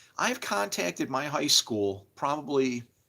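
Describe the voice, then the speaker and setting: With vocal fry and a bright, sharp tone, a man talks in an animated way on a very clean recording with a silent background. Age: 60s. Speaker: livestreamer. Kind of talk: casual livestream monologue. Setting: live stream. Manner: halting.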